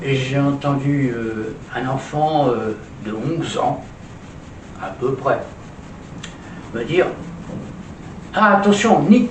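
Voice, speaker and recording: A man with a fairly high pitch speaks at a very slow pace, leaving long, frequent pauses and making very wide pitch swings and big swings in loudness. Audible room echo and noticeable background noise surround his voice. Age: 80s+. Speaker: social commentator, retired stage performer. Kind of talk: opinion monologue. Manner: hesitant, with many fillers and repetitions.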